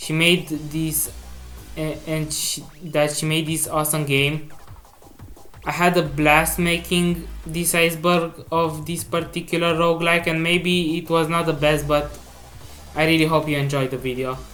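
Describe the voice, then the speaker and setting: Over music in the background, the voice moves at a fairly slow pace. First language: not English. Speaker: gaming video creator. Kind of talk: video game commentary. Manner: halting.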